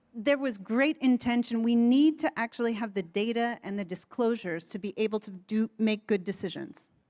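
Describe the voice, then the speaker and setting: A woman with an American accent has an unremarkable speaking voice, fairly high in pitch, with lively intonation at a moderate pace. The recording is very clean with a silent background and a dry, close sound with no echo. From United States. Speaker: panelist on sustainability governance. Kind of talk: panel discussion.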